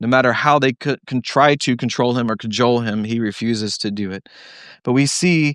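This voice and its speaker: A plain, everyday voice from a man, medium in pitch with ordinary pitch variation, in a dry, close sound with no echo. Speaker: pastor. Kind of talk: sermon. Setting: church.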